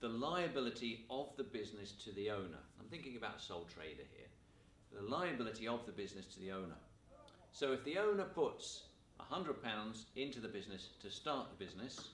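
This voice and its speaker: A man speaks at a fairly quick pace with very wide pitch swings and big swings in loudness. There is audible room echo and light background noise. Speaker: teacher. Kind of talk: lecture. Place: classroom.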